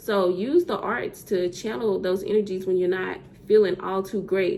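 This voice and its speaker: Noticeable background noise sits behind a woman speaking at a moderate pace with a Southern US accent. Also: medium pitch for a woman, fairly even intonation. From US South. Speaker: poet. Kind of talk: spoken word poetry. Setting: virtual summit.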